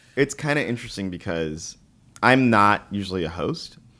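Bright and sharp in tone, the voice has an American accent and vocal fry. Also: man. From New York. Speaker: comedian and podcast host. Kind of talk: casual chat.

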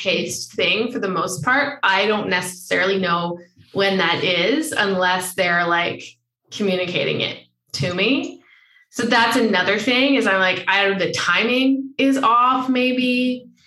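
A woman speaks in a normal speaking voice. Her pace is fairly slow and her pitch variation ordinary. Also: medium pitch for a woman. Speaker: podcast host. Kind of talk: casual interview chat.

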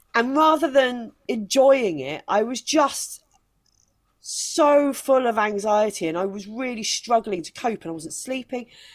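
This woman has a fairly high pitch and an animated tone with lively intonation. She speaks at a fairly slow pace, with big swings in loudness. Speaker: stand-up comedian. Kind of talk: interview conversation. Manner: animated, laughs often.

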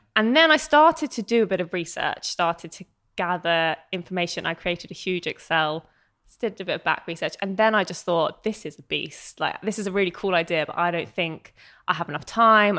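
Speaking at a fairly quick pace in a British accent, a woman of medium pitch shows big swings in loudness on a very clean recording with a silent background. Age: 20s. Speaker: entrepreneur and blogger. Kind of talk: casual chat.

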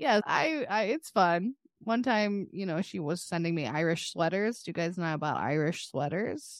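An ordinary speaking voice runs at a moderate pace with hardly any pauses and lively intonation. The background is quiet. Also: woman, fairly low pitch for a woman. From Texas. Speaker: podcast co-host. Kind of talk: casual chat.

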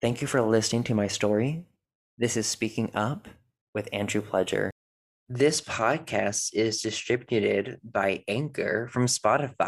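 Speaking fairly slowly with an American accent, a man of medium pitch has an unremarkable speaking voice with ordinary pitch variation in a very clean recording with a silent background. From US South, North Carolina. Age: 20s. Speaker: podcast host, religion recovery coach. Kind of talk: personal testimony monologue.

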